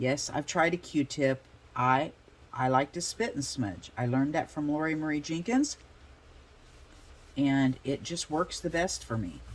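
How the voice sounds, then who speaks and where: A woman speaks in a very deep, low voice with ordinary pitch variation. Her pace is fairly slow, broken by long, frequent pauses. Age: 60s. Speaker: art journaling YouTuber. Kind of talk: casual craft tutorial.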